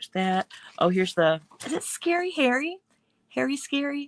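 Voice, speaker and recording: The woman's pitch swings very widely, and the sound is dry and close with no echo. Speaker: mixed media artist and stencil designer. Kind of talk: casual live stream craft demo. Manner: fast; casual, chatty with fillers.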